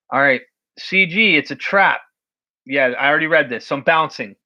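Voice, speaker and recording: A man's raised, projected voice with an American accent, bright and sharp in tone, with very wide pitch swings over a quiet background. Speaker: recovery community livestreamer. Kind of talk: casual live stream chat reading comments.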